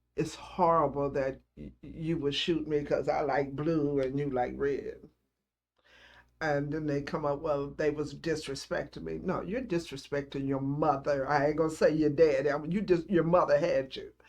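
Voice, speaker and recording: A woman talks with a Southern US accent at a moderate pace. Her voice is very deep and low. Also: fairly even intonation. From Celina, Tennessee. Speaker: grandmother. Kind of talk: oral history interview answer.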